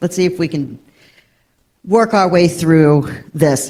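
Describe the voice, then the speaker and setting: A woman talks at a very slow pace, her fairly low pitch rising and falling in an ordinary way. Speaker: historian and professor. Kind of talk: panel talk.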